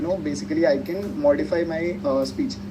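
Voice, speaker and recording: Amid noticeable background noise and audible room echo, a man speaks with fairly high pitch. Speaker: tech tutorial presenter. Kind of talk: tutorial. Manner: animated.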